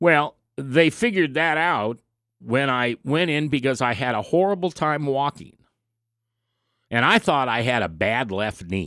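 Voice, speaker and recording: In a very clean recording with a silent background, a man with an American accent speaks at a fairly high pitch and a fairly slow pace, his intonation lively. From US Midwest, Nebraska. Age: 60s. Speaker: radio talk show host. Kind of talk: radio talk monologue.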